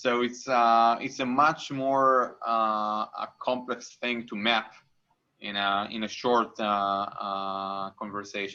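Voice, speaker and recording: Against a quiet background, a man with a medium pitch and a bright, sharp tone speaks very slowly with fairly even intonation. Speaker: insurance startup CEO. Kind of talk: interview on a live online event.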